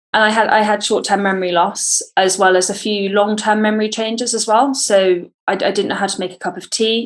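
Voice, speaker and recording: A woman speaks at a moderate pace with a British accent and a flat, monotone delivery against a quiet background. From Britain. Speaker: former athlete. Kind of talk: testimony. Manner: halting, many repetitions.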